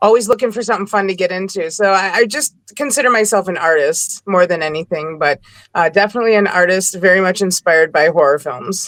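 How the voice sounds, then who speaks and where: In a very clean recording with a silent background, a woman with a Wisconsin accent speaks at a very fast pace with ordinary pitch variation. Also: medium pitch for a woman. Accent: Wisconsin accent, noticeable. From Milwaukee, Wisconsin. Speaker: model and performer. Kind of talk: casual interview chat.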